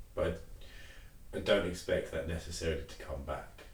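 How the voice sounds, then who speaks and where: Audible room echo surrounds the voice. The man talks at a moderate pace. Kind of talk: casual chat.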